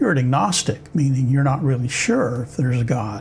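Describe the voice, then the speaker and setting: A man talks in a dark, mellow tone at a fairly high pitch. His voice is somewhat breathy. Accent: American. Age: 70s. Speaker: former pastor. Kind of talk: personal testimony.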